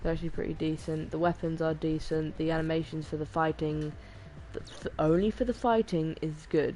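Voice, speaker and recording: A woman speaks at a fairly low pitch. Her pace is fairly quick. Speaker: gaming streamer. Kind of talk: live game commentary. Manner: monotone; halting, self-correcting.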